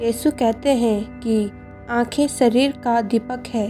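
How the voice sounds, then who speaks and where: The intonation is fairly even. Music sounds behind the speech. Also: woman, fairly high pitch for a woman. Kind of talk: Bible sermon narration. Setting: voice recorded by herself for a devotional video with background music.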